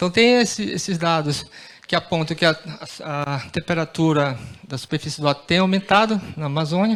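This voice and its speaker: Here a man talks at a moderate pace, with a fairly high pitch and ordinary pitch variation. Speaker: researcher. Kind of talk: conference presentation. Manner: halting, many fillers.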